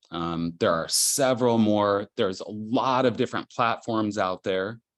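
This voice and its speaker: A man at a fairly slow pace, an unremarkable speaking voice with ordinary pitch variation, over a quiet background. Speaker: digital artist presenting a workshop. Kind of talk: tutorial presentation. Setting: video call. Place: home room. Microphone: video call.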